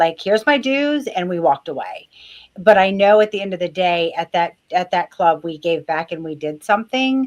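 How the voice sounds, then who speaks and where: A woman talks at a moderate pace with lively intonation. Hers is a plain, everyday voice. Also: medium pitch for a woman. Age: 50s. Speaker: nurse and business owner. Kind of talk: casual chat.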